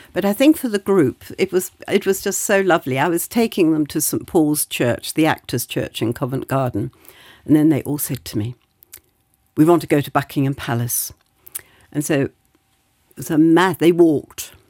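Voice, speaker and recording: Speaking at a moderate pace with long, frequent pauses, this voice has a dark, mellow tone, lively intonation and a British accent. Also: woman, very deep, low pitch for a woman, dry, close sound with no echo. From Britain. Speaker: society council member. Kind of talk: conversational interview. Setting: studio.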